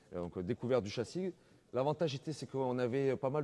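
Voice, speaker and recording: With a slight southern French accent, a man speaks at a fairly quick pace. His tone is dark and mellow, with ordinary pitch variation. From southern France, Antibes. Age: 30s. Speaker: wheelchair basketball player. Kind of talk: interview. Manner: hesitant, many fillers.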